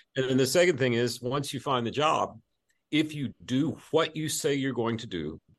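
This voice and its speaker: Against a quiet background, a man speaks at a moderate pace with vocal fry. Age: 50s. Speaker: executive search firm CEO and author. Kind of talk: casual interview.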